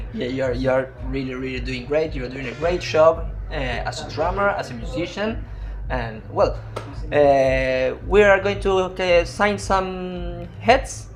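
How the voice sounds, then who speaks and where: A man with a Spanish accent speaks at a very slow pace with big swings in loudness, with audible room echo and music in the background. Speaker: interpreter and interviewer. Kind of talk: interview.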